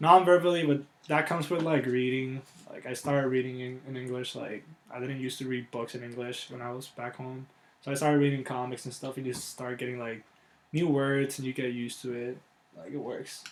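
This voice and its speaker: A man with a Puerto Rican accent speaks fairly quickly at a medium pitch, keeping his intonation fairly even while his loudness swings widely. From Puerto Rico. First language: Spanish. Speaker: college athlete. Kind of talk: interview. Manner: casual, many fillers; pauses to find words.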